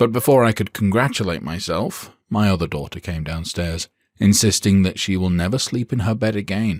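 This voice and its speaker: A man with a British accent and fairly low pitch, in a dry, close sound with no echo. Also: very clean recording, silent background. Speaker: audiobook narrator. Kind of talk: audiobook narration.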